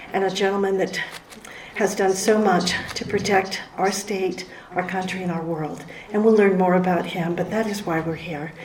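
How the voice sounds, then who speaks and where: A woman speaks at a moderate pace and medium pitch with fairly even intonation, with noticeable background noise and audible room echo. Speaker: state leader of a women's heritage society. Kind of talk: award ceremony speech.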